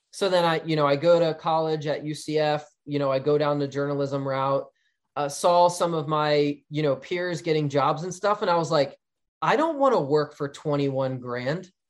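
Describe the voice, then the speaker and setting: With a normal speaking voice, a man uses a fairly high pitch and fairly even intonation. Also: moderate pace. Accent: American. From New Jersey, Philadelphia area. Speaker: digital marketing agency owner. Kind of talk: podcast interview.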